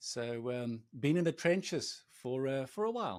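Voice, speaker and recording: A fairly high-pitched man with a South African accent, lively intonation and a fairly slow pace, on a very clean recording with a silent background. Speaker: agency CEO. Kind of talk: podcast interview. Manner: halting.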